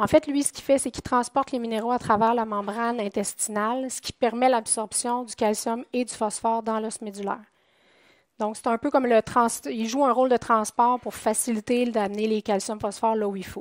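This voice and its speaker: A woman with a Quebec accent, fairly high in pitch, at a moderate pace with fairly even intonation and big swings in loudness, on a very clean recording with a silent background and a dry, close sound with no echo. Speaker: poultry nutritionist. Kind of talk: conference talk. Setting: conference room with audience.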